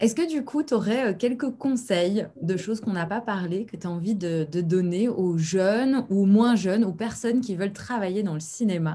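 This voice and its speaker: A woman's medium-pitched voice with a Belgian accent, lively intonation, a moderate pace and hardly any pauses, over noticeable background noise. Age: young. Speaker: actress and acting coach, channel host. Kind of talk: interview conversation.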